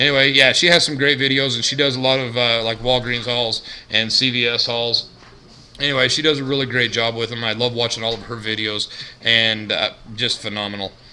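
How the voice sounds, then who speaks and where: Noticeable background noise sits behind speech whose intonation stays fairly even. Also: man, medium pitch for a man, fairly quick pace. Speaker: couponing vlogger. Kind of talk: casual vlog monologue. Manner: monotone.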